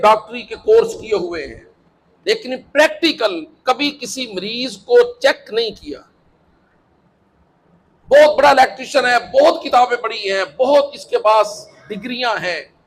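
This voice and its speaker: A man's extremely high pitch with ordinary pitch variation and big swings in loudness. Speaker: Islamic preacher, religious teacher. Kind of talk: Islamic sermon, lecture to an audience. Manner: explanatory, conversational, uses everyday examples.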